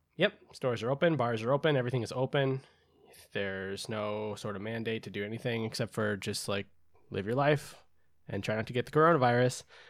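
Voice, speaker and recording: Using a plain, everyday voice, a man of medium pitch with ordinary pitch variation talks at a fairly quick pace, his loudness swinging widely. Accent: American. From United States. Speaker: podcast co-host. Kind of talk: casual chat. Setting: remote call.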